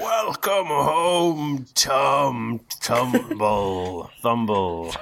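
A man puts on a booming character voice. His pitch is medium.

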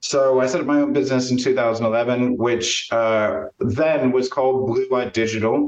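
A man with an unremarkable speaking voice talks at medium pitch with fairly even intonation and very even loudness. His pace is fairly slow, with hardly any pauses. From US Midwest, Champaign-Urbana, Illinois. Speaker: marketing agency owner and networking coach. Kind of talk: casual interview.

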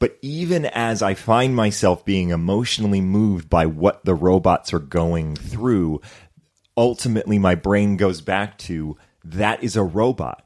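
In a very clean recording with a silent background, a man with a fairly low pitch and an ordinary speaking voice talks at a fairly slow pace with ordinary pitch variation. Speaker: actor.

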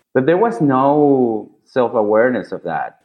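Speaking at a fairly slow pace with a Spanish accent, a man uses a medium pitch and lively intonation. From Venezuela, Caracas. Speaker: designer. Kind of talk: interview. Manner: animated.

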